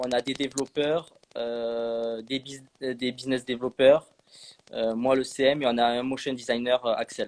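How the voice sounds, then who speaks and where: A man's medium-pitched voice holds a monotone, flat intonation. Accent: southern French. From southwest France, Landes. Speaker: social media manager for a sports video app. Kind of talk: live stream interview. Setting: online live stream. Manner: hesitant, many fillers.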